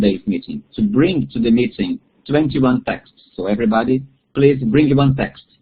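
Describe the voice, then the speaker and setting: With a Portuguese accent, a man speaks at a moderate pace in a medium pitch, his somewhat breathy voice marked by lively intonation. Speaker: bible study facilitator. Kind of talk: webinar talk. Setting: online webinar. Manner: halting.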